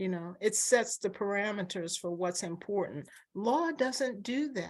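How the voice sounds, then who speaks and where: With a plain, everyday voice, a woman speaks at a medium pitch and a fairly slow pace, her intonation lively. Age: 60s. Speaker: retired law professor. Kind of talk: oral history interview. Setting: video call.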